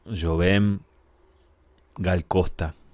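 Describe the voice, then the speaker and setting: A man with an Argentine accent talks in a very deep, low voice with vocal fry and an animated tone, recorded very cleanly against a silent background. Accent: Argentine Spanish (rioplatense voseo). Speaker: radio host. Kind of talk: radio music show presenting.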